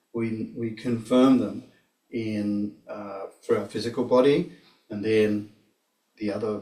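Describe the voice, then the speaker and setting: A man speaks in an Australian accent with a dark, mellow tone. His medium-pitched voice stays fairly even in intonation. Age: 60s. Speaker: tai chi practitioner and teacher. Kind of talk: casual explanation of practice; personal testimony. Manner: halting, repeats words.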